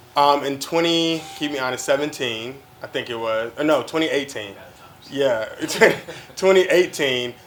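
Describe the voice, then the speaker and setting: Long, frequent pauses from a man with fairly high pitch and ordinary pitch variation, at a moderate pace over noticeable background noise. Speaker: host and CEO of a production company. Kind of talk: casual interview conversation.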